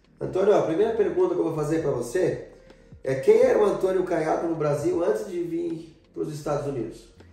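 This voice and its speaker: A man speaks at a fairly quick pace with music in the background and audible room echo. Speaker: YouTuber interviewer. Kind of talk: interview. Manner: animated.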